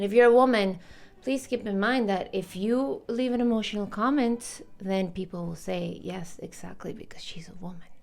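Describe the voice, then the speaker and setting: With a non-native accent, the speaker goes at a moderate pace, pitch varying in an ordinary way while loudness swings widely. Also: woman, medium pitch for a woman. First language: not English. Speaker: commentary vlogger. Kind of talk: opinion vlog. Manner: casual, conversational.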